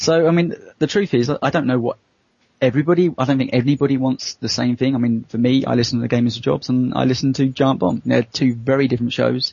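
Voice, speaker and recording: Speaking very fast with a British accent, a man holds a medium pitch, fairly even intonation and very even loudness. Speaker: podcast co-host. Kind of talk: casual chat. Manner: quieter than co-host.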